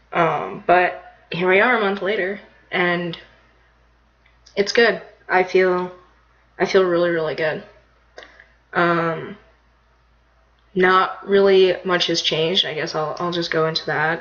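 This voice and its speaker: With a squeaky, high pitch, a man speaks in a flat monotone at a fairly slow pace, leaving long, frequent pauses. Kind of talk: personal vlog. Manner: casual, hesitant with many fillers.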